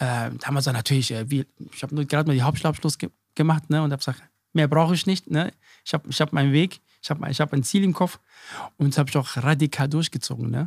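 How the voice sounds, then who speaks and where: In a very clean recording with a silent background and a dry, close sound with no echo, a man with a fairly high, somewhat breathy voice talks at a very fast pace with ordinary pitch variation and long, frequent pauses. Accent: slight Hessian. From Germany, Hesse. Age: 40s. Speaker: chef and restaurant owner. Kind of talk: interview. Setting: in his restaurant.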